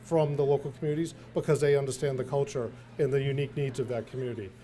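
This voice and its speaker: At a very fast pace, a man with a fairly high pitch speaks with fairly even intonation, a somewhat breathy delivery, and a dark, mellow tone. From central Massachusetts. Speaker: health plan executive. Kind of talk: speech at a community event. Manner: halting, many filler words.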